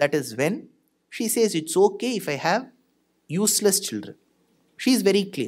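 A man speaks at a high pitch with lively intonation. He leaves long, frequent pauses against a quiet background. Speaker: speaker. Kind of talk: religious discourse. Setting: stage with audience. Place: hall. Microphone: studio mic.

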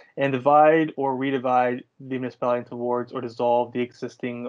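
The background stays quiet while a man talks. He keeps a moderate tempo and fairly even intonation. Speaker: consultant presenting a report. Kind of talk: presentation. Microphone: video call.

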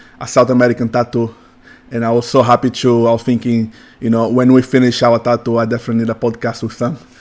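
A man with a Portuguese accent talks at a fairly quick pace in a monotone, flat intonation. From Brazil, São Paulo. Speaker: tattoo artist; podcast host. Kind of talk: casual chat. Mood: warm, happy. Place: studio. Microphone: studio mic.

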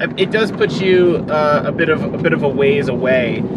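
A man speaks at a fairly slow pace. Loud background noise surrounds his dry sound with no echo. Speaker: travel vlogger. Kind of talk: casual vlog chat. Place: car. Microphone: camera far.

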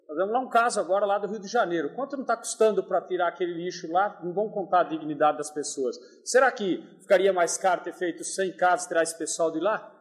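A man's high voice at a very fast pace, hardly any pauses, ordinary pitch variation, over a quiet background. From São Paulo state, Brazil. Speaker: public-sector accountant. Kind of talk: call-in question. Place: classroom.

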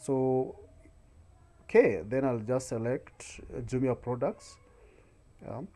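With a dark, mellow tone, the voice moves at a very slow pace, with long, frequent pauses, big swings in loudness and ordinary pitch variation. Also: man. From Kenya. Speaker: YouTube tutorial creator; online seller tutor. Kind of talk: screen-recorded tutorial. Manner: frequent filler hesitations. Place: home room. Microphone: webcam.

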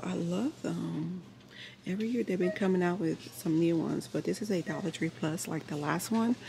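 A woman's fairly low-pitched voice at a moderate pace, amid noticeable background noise. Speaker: vlogger. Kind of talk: casual vlog chat. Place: shop. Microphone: phone near.

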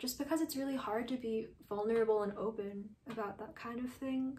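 A woman's fairly high voice with a dark, mellow tone, monotone, flat intonation and an American accent. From New York. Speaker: artist. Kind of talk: interview testimony. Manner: casual, hesitant with fillers. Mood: reflective, emotional, hopeful. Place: home room.

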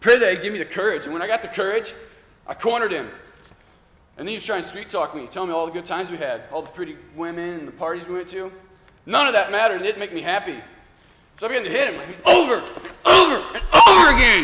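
Over noticeable background noise, a man speaks at a very fast pace in a raised, projected voice with big swings in loudness. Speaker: actor in a church drama. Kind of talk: dramatic monologue confession. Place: church. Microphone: camera far.

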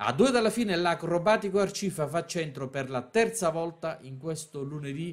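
Lively intonation and an animated tone mark this man's high-pitched speech. He leaves hardly any pauses. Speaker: sports commentator. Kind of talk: live-style sports commentary. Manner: fast, animated, rhythmic play-by-play delivery.

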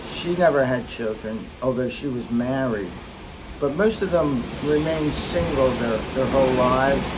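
A man with an American accent speaks over loud background noise. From US Mid-Atlantic. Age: 60s. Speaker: grandfather vlogger, retired tax official. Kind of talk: casual storytelling to grandchildren. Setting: outdoors on a cruise ship balcony. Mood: reflective, fond storytelling. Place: boat. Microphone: phone near.

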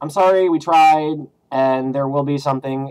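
This is a man talking. His pitch varies in an ordinary way. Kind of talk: casual vlog chat. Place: home room. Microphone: webcam.

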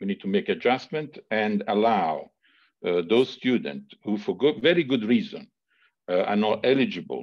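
A quiet background behind a man speaking at a moderate pace. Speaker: university leader for health and safety. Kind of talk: formal meeting answers. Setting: video call. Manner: halting, many fillers. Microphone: video call.

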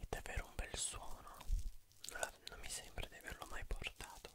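A whisper at a fairly slow pace. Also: man. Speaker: ASMR creator. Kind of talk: ASMR whispering, relaxing talk to camera. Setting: studio, close microphone. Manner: whispered, soft-spoken, slow. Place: home room. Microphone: studio mic.

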